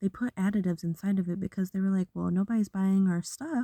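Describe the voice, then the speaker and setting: A woman's somewhat breathy, dark, mellow voice at a medium pitch and fairly quick pace, with ordinary pitch variation, dry, close sound with no echo and a very clean recording with a silent background. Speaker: vlogger. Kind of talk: casual monologue.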